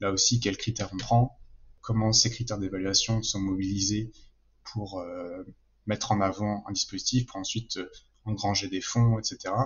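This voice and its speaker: A man speaks at a moderate pace with a fairly low pitch and a somewhat breathy quality. His intonation is monotone and flat. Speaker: political science PhD student. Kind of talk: interview answer. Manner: calm, measured.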